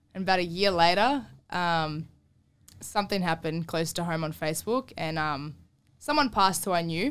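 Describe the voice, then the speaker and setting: A woman speaks with an Australian accent and a fairly low pitch. The recording is very clean, with a silent background. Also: ordinary pitch variation, moderate pace. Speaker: girlfriend guest. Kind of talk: casual chat.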